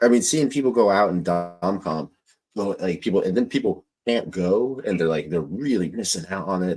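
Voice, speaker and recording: With music in the background, a man speaks in an animated tone at a moderate pace. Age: 50s. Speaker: podcast host. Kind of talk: interview.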